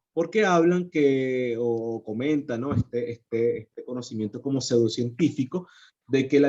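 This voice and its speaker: A man speaks at a moderate pace with a dark, mellow tone. His intonation is lively. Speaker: psychologist. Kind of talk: lecture. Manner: halting.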